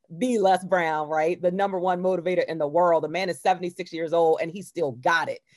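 An ordinary speaking voice runs at a fairly quick pace with hardly any pauses and fairly even intonation. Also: woman, fairly low pitch for a woman. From Baltimore, US. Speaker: motivational speaker and author. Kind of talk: interview.

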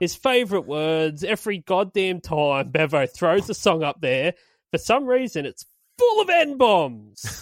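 Speaking fairly slowly with an Australian accent, a man uses a high pitch and very wide pitch swings, recorded with a dry, close sound and no echo. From Australia, Illawarra region. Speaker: podcast host. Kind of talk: casual chat. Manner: animated.

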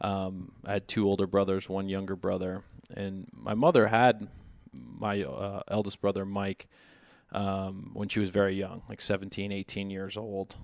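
An unremarkable speaking voice, a man delivers his words at a moderate pace in a fairly low pitch with fairly even intonation over a quiet background. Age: 30s. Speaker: finance executive. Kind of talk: casual interview.

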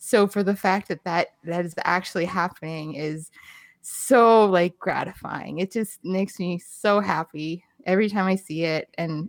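On a very clean recording with a silent background and a dry, close sound with no echo, a woman in a normal speaking voice with medium pitch talks at a fairly slow pace with fairly even intonation. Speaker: podcast co-host. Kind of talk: casual chat.

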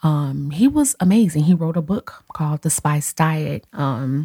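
A woman's voice, very deep and low in pitch, carries a dark, mellow tone and is somewhat breathy. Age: 30s. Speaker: podcast host and hairstylist. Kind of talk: casual solo podcast monologue. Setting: home office. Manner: animated.

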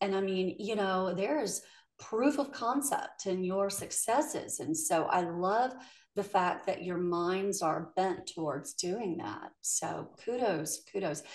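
Lively intonation marks a woman's medium-pitched, unremarkable speaking voice. She keeps a fairly slow pace. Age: 50s. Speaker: podcast host. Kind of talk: interview conversation.

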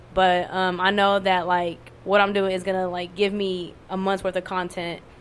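The speaker is a woman. Her voice rests at a medium pitch. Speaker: poet. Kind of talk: casual chat. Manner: monotone; casual, profane.

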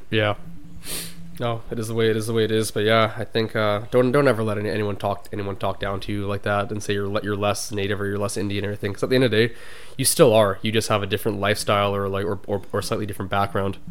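Speaking very fast, a man uses a fairly low, monotone, flat voice. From Canada. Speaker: podcast co-host. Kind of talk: casual chat.

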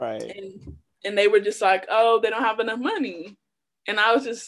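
An American accent marks this woman's unremarkable speaking voice, pitched fairly high. She talks at a moderate pace. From Chicago. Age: 20s. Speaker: rapper. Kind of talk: casual chat.

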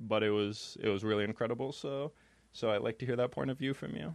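Talking very fast, a man with an American accent speaks at a medium pitch with fairly even intonation. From New York State. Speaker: podcast host. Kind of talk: casual interview. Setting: studio.

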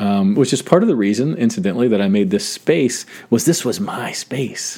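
Spoken at a moderate pace, this voice has a dark, mellow tone and very wide pitch swings. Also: man. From US South (south Georgia), then northern Ohio from 13. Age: 40s. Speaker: podcast host. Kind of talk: solo reflective monologue. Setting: home studio. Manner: casual, many fillers.

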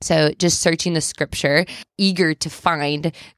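A woman with a fairly low pitch and an unremarkable speaking voice talks at a moderate pace. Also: dry, close sound with no echo. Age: 20s. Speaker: stay-at-home mom sharing faith testimony. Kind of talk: interview testimony.

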